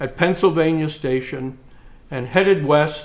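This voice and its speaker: An American-accented man talks at a fairly slow pace and fairly high pitch, with fairly even intonation and audible room echo. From Bronx, New York City, then Upper Midwest (Iowa/Wisconsin). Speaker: retired diplomat telling life story. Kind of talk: oral history reminiscence. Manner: conversational with many filler hesitations.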